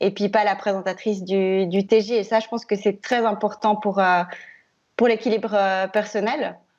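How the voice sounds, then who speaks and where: This woman takes her time, speaking rather slowly. Her pitch stays mostly level. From Switzerland, Biel/Bienne (French-speaking). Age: 30s. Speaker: TV news presenter. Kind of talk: interview. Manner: hesitant, many fillers.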